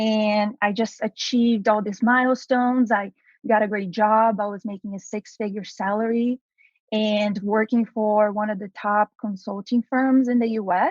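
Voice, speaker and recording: A woman speaks in a Brazilian Portuguese accent at a fairly high pitch and moderate pace. Her somewhat breathy voice has a monotone, flat intonation and a dry, close sound with no echo. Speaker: entrepreneur, activewear founder. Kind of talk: podcast interview.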